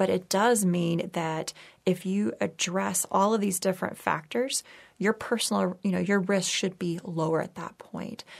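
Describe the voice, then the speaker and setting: A woman with an American accent speaks at a moderate pace and medium pitch in an unremarkable speaking voice. Her pitch varies in an ordinary way, over a very clean recording with a silent background. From Texas. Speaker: neurology professor and researcher. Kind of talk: interview. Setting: studio.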